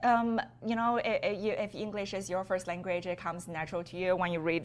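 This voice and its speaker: A woman's medium-pitched voice with a Chinese accent, fairly even intonation, and a fairly quick pace. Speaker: business owner. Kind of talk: podcast interview.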